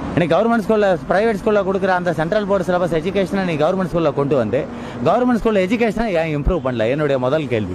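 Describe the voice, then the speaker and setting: Noticeable background noise sits behind a man with a high-pitched voice. The sound is dry, with no echo. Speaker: interviewee on the street. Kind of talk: passionate public speech on politics and education. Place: street. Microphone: handheld.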